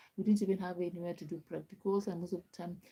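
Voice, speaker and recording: A woman talks in a fairly low pitch, somewhat breathy, with a dark, mellow tone. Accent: Kenyan. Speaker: live streamer. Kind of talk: casual chat.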